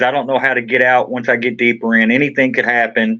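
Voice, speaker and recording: A man's medium-pitched voice with a Kentucky accent, at a fairly quick pace. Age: 40s. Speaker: trial defendant. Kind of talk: interview testimony.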